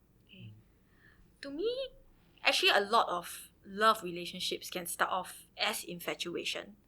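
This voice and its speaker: Speaking in a Singaporean accent, a woman leaves long, frequent pauses while her loudness swings widely. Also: moderate pace. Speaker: teacher. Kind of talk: casual chat.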